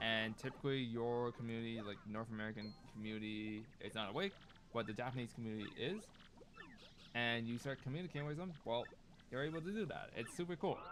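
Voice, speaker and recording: Talking at a very fast pace, this man has a medium pitch and ordinary pitch variation. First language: Cantonese. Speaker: video game streamer. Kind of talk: casual live stream chat. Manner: casual, filler-heavy.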